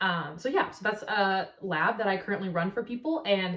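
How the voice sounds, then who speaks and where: The woman has an American accent. She talks rather quickly. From US Pacific Northwest, Seattle. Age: 20s. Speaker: nutritional therapy practitioner, vlogger. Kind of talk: casual vlog talk to camera. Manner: casual, many filler words.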